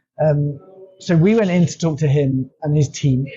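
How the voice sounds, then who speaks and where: Somewhat breathy, a man with an English accent speaks in a fairly high pitch with ordinary pitch variation. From England. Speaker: company founder, language consultant. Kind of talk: interview conversation.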